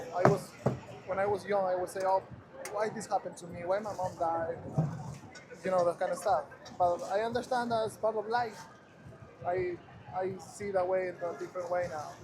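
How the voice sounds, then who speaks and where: A man with a high pitch speaks at a fairly quick pace with fairly even intonation, leaving long, frequent pauses. Background noise is noticeable. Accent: Spanish. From Ecuador. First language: Spanish. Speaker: passerby, photographer. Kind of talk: casual street conversation. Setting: outdoors in Times Square.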